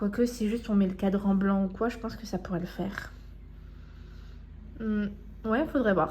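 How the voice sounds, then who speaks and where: Speaking at a moderate pace with a medium pitch, a woman leaves long, frequent pauses. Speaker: vlogger. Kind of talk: casual vlog. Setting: at home, partly outdoors. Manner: loud; animated.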